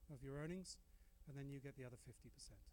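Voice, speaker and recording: Someone male speaks at a fairly high pitch for a man. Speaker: dental professor and researcher. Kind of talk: lecture. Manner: fast; animated.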